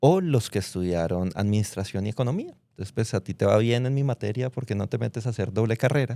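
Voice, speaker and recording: In a Bogotá accent, a man talks at a very fast pace with hardly any pauses. His tone is dark and mellow. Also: medium pitch for a man, ordinary pitch variation, dry, close sound with no echo. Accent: Bogotá Colombian Spanish. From Colombia, Bogotá. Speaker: fintech founder, former footballer. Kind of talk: interview. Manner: casual, conversational.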